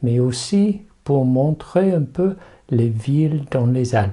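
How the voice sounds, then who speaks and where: A man with an English accent speaks very slowly at a medium pitch, his dark, mellow tone somewhat breathy and his intonation lively. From England. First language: English (speaking French). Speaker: rephotography youtuber. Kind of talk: tutorial. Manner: halting, with repetitions and fillers.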